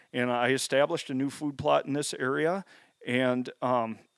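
An unremarkable speaking voice with an American accent and fairly even intonation. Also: man. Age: 40s. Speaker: habitat consultant and hunter. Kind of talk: casual chat.

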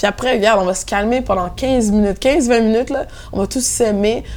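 The tone is energetic. Pitch variation is ordinary. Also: woman. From Montréal-Nord, Quebec, Haitian family. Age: 20s. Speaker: DJ and event programmer. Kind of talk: casual interview chat.

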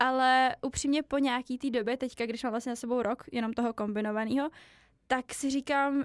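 A woman's high, monotone voice at a fairly quick pace, flat in intonation, on a very clean recording with a silent background and a dry, close sound with no echo. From Czech Republic, Ústí region (Lovosice). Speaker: student. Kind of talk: podcast interview.

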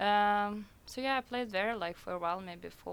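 In a Russian accent, a woman speaks fairly slowly at a medium pitch. Her pitch varies in an ordinary way. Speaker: DJ. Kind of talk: radio interview. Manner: hesitant, many fillers.

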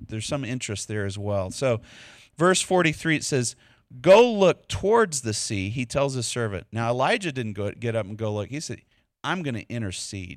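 A man in a Texas accent, medium pitch, lively intonation and a moderate pace, on a very clean recording with a silent background. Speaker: preacher. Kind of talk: sermon. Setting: church.

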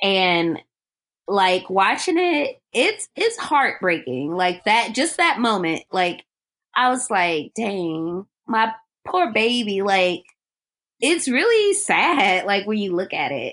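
Very wide pitch swings mark this very slow delivery. The background is quiet. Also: woman, medium pitch for a woman. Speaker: podcast co-host. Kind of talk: casual chat.

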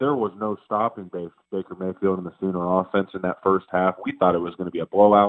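Speaking at a fairly quick pace with hardly any pauses, a man uses a very deep, low pitch and fairly even intonation. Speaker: co-host, former college quarterback. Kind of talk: casual sports podcast chat. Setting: phone call from Florida.

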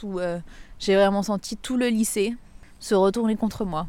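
Fairly even intonation from a woman at medium pitch, moving at a moderate pace. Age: 30s. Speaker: English teacher. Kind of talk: testimony. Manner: hesitant, with fillers and repetitions.

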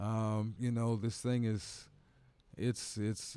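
A man with an American accent uses a normal speaking voice at a fairly low pitch and a fairly slow pace, in a very clean recording with a silent background. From Indiana, US Midwest. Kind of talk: casual chat.

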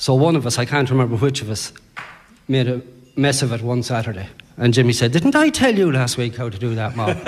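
A man with an Irish accent, a fairly quick pace and ordinary pitch variation. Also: medium pitch for a man. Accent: Irish (Sligo). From Ireland, Sligo. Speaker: sports author. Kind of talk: live interview at book launch. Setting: hotel ballroom with audience.

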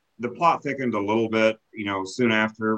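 At a moderate pace, a man with a Missouri accent talks with ordinary pitch variation over a quiet background. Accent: Midland American, rural Missouri. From rural Missouri, Lake of the Ozarks area. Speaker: realtor and professional association chapter president. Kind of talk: podcast interview. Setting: video call.

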